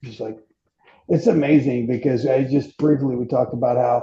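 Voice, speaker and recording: A man speaks at a fairly quick pace. His medium-pitched voice is somewhat breathy. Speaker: fitness podcast host. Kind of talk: casual podcast chat. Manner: fast; animated.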